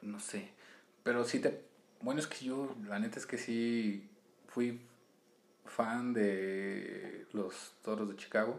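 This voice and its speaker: In a room with audible echo, a man of medium pitch speaks very slowly with ordinary pitch variation and long, frequent pauses. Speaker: podcast co-host. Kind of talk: casual chat.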